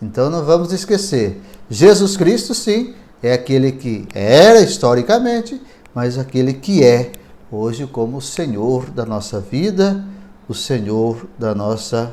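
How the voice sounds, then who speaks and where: A man's medium-pitched voice with very wide pitch swings, at a fairly slow pace, amid audible room echo. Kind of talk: lecture.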